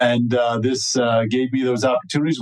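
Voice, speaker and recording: Monotone, flat intonation marks this man's medium-pitched voice, delivered at a moderate pace. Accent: American. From New Jersey, US. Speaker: cannabis lawyer. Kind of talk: podcast interview. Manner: frequent fillers (uh).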